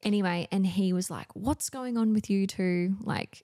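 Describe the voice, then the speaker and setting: A woman talks at a moderate pace with a medium pitch and fairly even intonation. The sound is dry and close, with no echo. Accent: Australian. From Australia, Newcastle NSW. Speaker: community organiser, mother. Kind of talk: casual chat. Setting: home studio.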